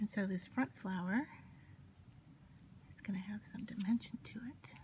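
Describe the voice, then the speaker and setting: A woman whispers quietly, her loudness swinging widely from moment to moment. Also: moderate pace. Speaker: paper crafter. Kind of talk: tutorial. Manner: gets quieter, near whisper while concentrating; casual, hesitant with fillers.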